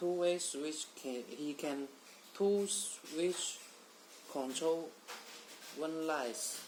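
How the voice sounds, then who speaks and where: The speech moves at a very slow pace with ordinary pitch variation. Noticeable background noise sits behind it. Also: man. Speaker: product demonstrator. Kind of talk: product demo tutorial. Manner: halting.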